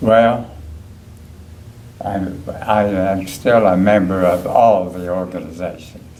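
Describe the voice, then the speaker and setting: With an Appalachian accent, a man with a very deep, low pitch speaks very slowly with long, frequent pauses and fairly even intonation, amid noticeable background noise and audible room echo. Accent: Appalachian American. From West Virginia, Clarksburg. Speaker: war veteran. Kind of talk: oral history interview.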